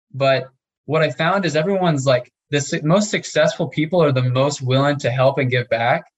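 Somewhat breathy and fairly high-pitched, a man speaks at a fairly quick pace. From US Midwest, small town Nebraska. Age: young. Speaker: real estate investor. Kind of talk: interview.

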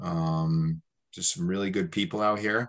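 Against a quiet background, a man with an American accent speaks in a plain, everyday voice at a fairly low pitch, going fairly slowly with lively intonation. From upstate New York. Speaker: chef and sausage company owner. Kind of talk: interview.

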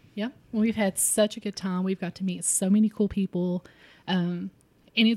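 A woman's dark, mellow voice with an Appalachian accent, medium in pitch, fairly quick and fairly even in intonation, dry and close with no echo on a very clean recording with a silent background. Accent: Appalachian Kentucky. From Harlan County, southeastern Kentucky. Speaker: podcast co-host, food blogger. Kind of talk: casual chat.

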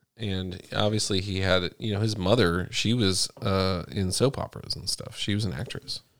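A man talks in an ordinary speaking voice, pitched fairly low. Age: 30s. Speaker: Navy veteran. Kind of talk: casual chat.

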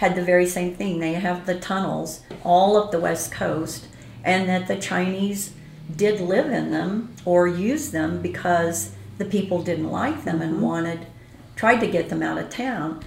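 A woman speaks at a fairly slow pace with a fairly low pitch. Her pitch variation is ordinary, and noticeable background noise can be heard. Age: 70s. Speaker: ghost tour operator and author. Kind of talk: casual interview chat.

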